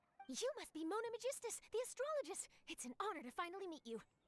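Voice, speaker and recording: A woman does a squeaky, put-on character voice at an extremely high pitch, racing at a very fast pace with very wide pitch swings. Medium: video game. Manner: brisk, inquisitive.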